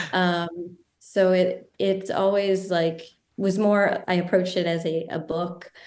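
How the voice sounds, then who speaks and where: A woman with an American accent talks at a very slow pace in a medium pitch. Her intonation is monotone and flat, with audible room echo. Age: 30s. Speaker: filmmaker and writer. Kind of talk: interview.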